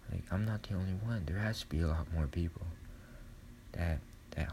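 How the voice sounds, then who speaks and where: Soft-spoken and somewhat breathy, a man is whispering. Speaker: podcaster. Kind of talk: solo monologue, personal confession. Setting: dark room at home, poor audio quality. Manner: halting, hesitant, filler-heavy; soft-spoken, whispering.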